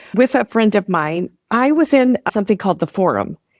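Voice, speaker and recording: The speaker uses lively intonation at a fairly slow pace. The sound is dry and close with no echo. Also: woman. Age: 60s. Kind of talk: podcast interview.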